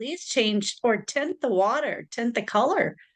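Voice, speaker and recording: Speaking at a fairly slow pace over a quiet background, a woman uses lively intonation in a high-pitched voice. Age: 50s. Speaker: podcast host and psychic reader. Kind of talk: interview.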